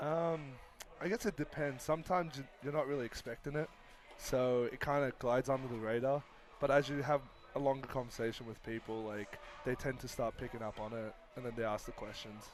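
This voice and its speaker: A man with an Australian accent talks at a medium pitch and fairly quick pace with ordinary pitch variation while music plays in the background. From Australia, Sydney. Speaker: college baseball pitcher. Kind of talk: live broadcast interview.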